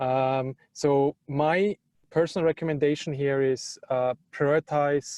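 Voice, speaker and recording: The man's intonation is monotone and flat, with a fairly high pitch. The sound is dry and close, with no echo. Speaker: remote work leader, panelist. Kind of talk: panel discussion. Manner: halting, many fillers.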